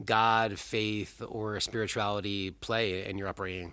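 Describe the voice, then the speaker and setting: On a very clean recording with a silent background, a man speaks in an unremarkable speaking voice at medium pitch with ordinary pitch variation. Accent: American. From New Jersey. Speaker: rabbi and podcast host. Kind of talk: interview conversation, podcast.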